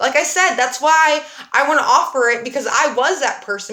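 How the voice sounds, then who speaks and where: A woman's fairly quick speech is accompanied by audible room echo and noticeable background noise. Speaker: dance fitness instructor. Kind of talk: livestream talk to class. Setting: livestream. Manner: animated.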